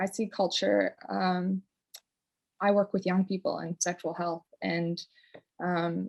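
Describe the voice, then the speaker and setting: Speech comes at a very slow pace with long, frequent pauses, recorded in a dry, close sound with no echo. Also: woman. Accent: Newfoundland. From Newfoundland, Canada. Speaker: community development practitioner. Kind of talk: personal sharing in a online conference session. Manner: hesitant, many fillers.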